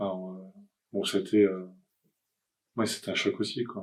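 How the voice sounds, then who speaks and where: On a very clean recording with a silent background, a man talks in a monotone, flat intonation. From France, Nantes. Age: 60s. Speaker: cancer patient. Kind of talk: testimony. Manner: halting.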